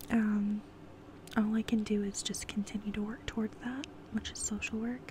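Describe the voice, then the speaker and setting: Light background noise sits under a dry sound with no echo. A woman with an American accent speaks in a relaxed, monotone, flat way at a fairly high pitch. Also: moderate pace. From California. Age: 20s. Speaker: ASMR YouTuber. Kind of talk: casual Q&A monologue. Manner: relaxed, giggly with frequent fillers. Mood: open, a bit somber. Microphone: earbuds.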